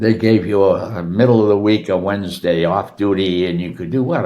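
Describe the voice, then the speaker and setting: A man's very deep, low voice has ordinary pitch variation. He keeps a moderate pace. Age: 90s. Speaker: retired golf professional. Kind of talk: interview answer, life stories.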